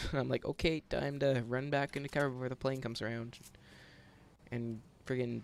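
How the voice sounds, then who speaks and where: This man's medium-pitched voice carries fairly even intonation. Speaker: gaming YouTuber. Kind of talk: gameplay commentary. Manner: fast; casual.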